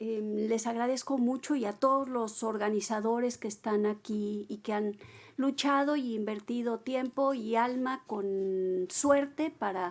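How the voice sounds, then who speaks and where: Very clean and silent in the background, the recording captures a woman with an ordinary speaking voice. Her pitch is fairly high, with ordinary pitch variation. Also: fairly slow pace. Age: 60s. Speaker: writer. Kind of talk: book presentation dialogue.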